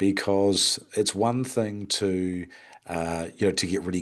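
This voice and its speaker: A man with an Australian accent and a very deep, low pitch, ordinary pitch variation, a moderate pace and a quiet background. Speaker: hospitality business consultant. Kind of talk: webinar presentation. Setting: online webinar with screen share. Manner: hesitant, many fillers.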